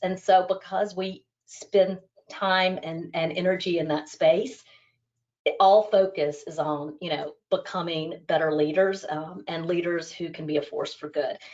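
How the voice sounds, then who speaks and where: In an American accent, a woman with an ordinary speaking voice talks at a moderate pace and a fairly low pitch, her intonation fairly even but her loudness swinging widely. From United States. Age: 40s. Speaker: business school staff member. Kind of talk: interview. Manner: many fillers (um, you know).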